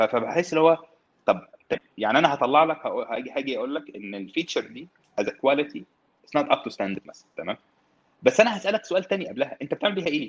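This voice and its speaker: A man's very fast speech with a fairly high pitch, very wide pitch swings, big swings in loudness and vocal fry, in a dry, close sound with no echo. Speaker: tech consultant. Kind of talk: casual chat.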